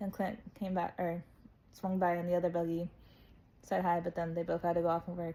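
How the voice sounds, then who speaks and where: Talking at a fairly quick pace with an American accent, a woman has a fairly low pitch, a dark, mellow tone and a flat monotone. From United States. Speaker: travel vlogger. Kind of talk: casual story time. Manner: casual, chatty with self-corrections.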